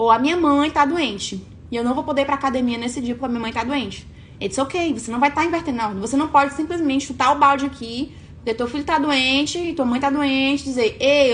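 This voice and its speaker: Speaking at a very fast pace, a woman with a high pitch sounds animated, using ordinary pitch variation. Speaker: online coach. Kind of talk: live stream talk.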